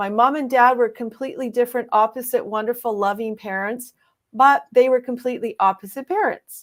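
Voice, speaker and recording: This is a very clean recording with a silent background. The speech moves at a fairly quick pace with ordinary pitch variation. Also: woman, high pitch for a woman. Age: 60s. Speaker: author and leadership coach hosting a live show. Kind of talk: live stream conversation. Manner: halting, with frequent repetitions.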